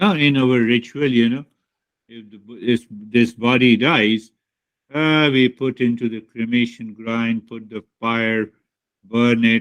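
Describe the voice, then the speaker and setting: Speaking at a fairly slow pace with an Indian accent, a man with a medium-pitched voice keeps his intonation fairly even while his loudness swings widely. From India, Bihar. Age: 60s. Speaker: spiritual teacher. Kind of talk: spiritual talk to students.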